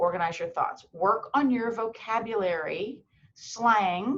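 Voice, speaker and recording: A woman speaks at a fairly slow pace in an ordinary speaking voice. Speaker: medical school admissions advisor. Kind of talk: webinar presentation.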